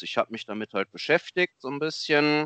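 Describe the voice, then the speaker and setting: A man talks in an unremarkable speaking voice at a fairly quick pace with ordinary pitch variation. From Germany, Lower Rhine region. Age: 30s. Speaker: amateur photographer. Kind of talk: casual interview.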